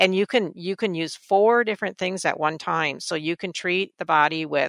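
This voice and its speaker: A woman speaks at a moderate pace with a bright, sharp tone, some vocal fry, and fairly even intonation. The recording is very clean and dry, close-miked with no echo and a silent background. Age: 60s. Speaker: energy healing practitioner. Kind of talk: interview.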